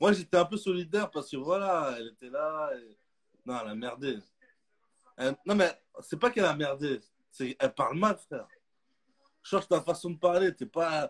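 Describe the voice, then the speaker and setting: A man at a high pitch, with an animated tone, lively intonation, big swings in loudness, a moderate pace and long, frequent pauses, over a quiet background. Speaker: comedian. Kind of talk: casual chat. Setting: video call. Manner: casual, slangy, animated. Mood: joking, animated storytelling. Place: home room. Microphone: earbuds.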